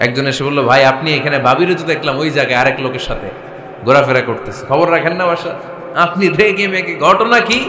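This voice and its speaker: A man with a fairly high pitch speaks in lively intonation, and noticeable background noise is present. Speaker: Islamic preacher giving a sermon. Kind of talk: Islamic sermon (waz) to an audience. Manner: rhetorical, lively, asks the audience questions.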